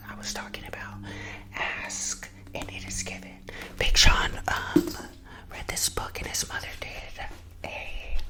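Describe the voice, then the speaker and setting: Someone whispers at a very slow pace, pausing long and often, over noticeable background noise. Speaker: real estate agent. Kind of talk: ASMR casual talk to camera. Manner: whispered.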